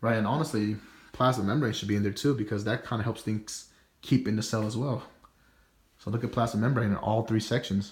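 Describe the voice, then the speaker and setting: The voice is somewhat breathy and moves at a fairly quick pace with fairly even intonation, captured on a very clean recording with a silent background. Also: man, medium pitch for a man. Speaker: student. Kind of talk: class presentation. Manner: fast; casual.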